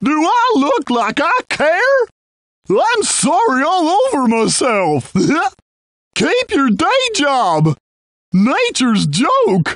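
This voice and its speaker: A high pitch at a very slow pace, broken by long, frequent pauses. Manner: folksy, chipper.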